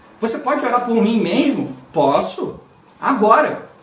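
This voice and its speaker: A man speaks with ordinary pitch variation. Noticeable background noise and audible room echo surround him. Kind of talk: devotional teaching. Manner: slightly mumbled.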